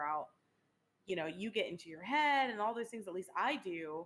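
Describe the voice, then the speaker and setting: The woman's voice sits at a mid-level pitch. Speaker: streamer and podcast co-host. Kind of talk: casual chat. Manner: loud.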